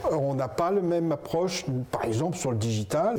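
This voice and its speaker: A man speaks at a fairly slow pace. His voice sits fairly high in pitch. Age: 60s. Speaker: business co-founder, hospital manager. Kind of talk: interview. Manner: hesitant, with fillers and restarts.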